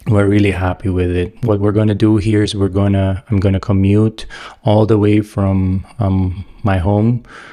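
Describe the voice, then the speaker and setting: A man speaks in a fairly low pitch. His intonation stays monotone and flat. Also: moderate pace, quiet background. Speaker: e-bike reviewer. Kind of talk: casual vlog chat. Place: home room. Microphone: webcam.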